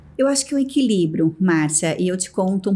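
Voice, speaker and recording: This woman's voice has a dark, mellow tone at a medium pitch. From Brazil, São Paulo state (Americana). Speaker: business executive. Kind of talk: interview.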